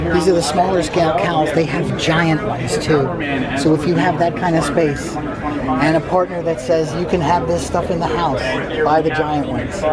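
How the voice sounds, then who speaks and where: A quiet man at a fairly high pitch and moderate pace, his intonation fairly even, with audible room echo and crowd noise in the background. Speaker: toy convention video blogger. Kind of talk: walkthrough narration at a trade show. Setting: trade show floor.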